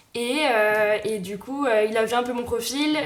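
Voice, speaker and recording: A woman is heard over noticeable background noise. The room adds audible echo. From Brittany, Rennes. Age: 20s. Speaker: entrepreneur, event manager. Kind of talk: interview. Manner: hesitant, many filler sounds.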